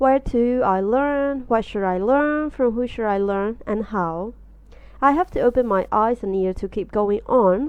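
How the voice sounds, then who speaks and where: Her pitch is fairly high for a woman, with ordinary pitch variation. She speaks at a fairly slow pace in a Burmese accent. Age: 20s. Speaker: artist. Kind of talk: podcast interview.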